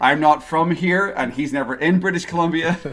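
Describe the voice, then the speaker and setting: Speaking at a fairly quick pace with an Irish accent, the voice comes through on a very clean recording with a silent background. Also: man. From Ireland. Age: 40s. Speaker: podcast host. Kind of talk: interview.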